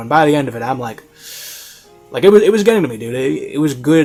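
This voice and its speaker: A man's medium-pitched voice with lively intonation, music playing behind him. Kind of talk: review commentary to camera. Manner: casual, conversational, emphatic.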